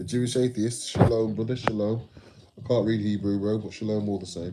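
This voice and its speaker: With an English Midlands accent, a man speaks fairly quickly at a fairly low pitch in a monotone, flat delivery, with noticeable background noise behind him. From England, West Midlands (Telford). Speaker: live streamer. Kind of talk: casual live stream chat. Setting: live stream reading chat. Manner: garbled, loose.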